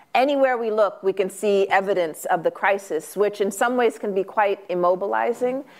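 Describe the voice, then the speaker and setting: A woman with an ordinary speaking voice talks at a medium pitch and a moderate pace, with ordinary pitch variation. The recording is very clean, with a silent background. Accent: American. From US West Coast (South Central Los Angeles). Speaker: author and academic. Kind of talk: Q&A at a book talk. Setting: stage with audience.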